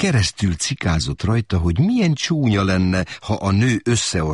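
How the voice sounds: Natural voice for reading aloud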